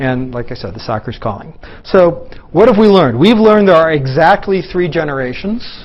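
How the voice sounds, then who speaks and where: A man with a high pitch talks at a fairly quick pace with very wide pitch swings. Audible room echo surrounds his voice. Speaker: physicist lecturer. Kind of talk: lecture. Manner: fast.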